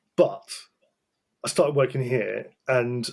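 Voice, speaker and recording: This man has a British accent and a medium pitch. His tone is dark and mellow, and he talks at a moderate pace. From Britain. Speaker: talent acquisition specialist. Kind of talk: podcast interview. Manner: animated.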